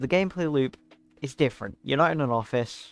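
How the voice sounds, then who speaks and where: A man is speaking. Music plays in the background. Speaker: gaming commentator. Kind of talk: casual monologue. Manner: fast; halting.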